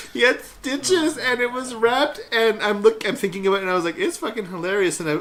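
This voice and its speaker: A man talks loudly at a very fast pace in an animated tone with very wide pitch swings. Noticeable background noise is present. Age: 30s. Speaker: podcast co-host. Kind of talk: casual chat.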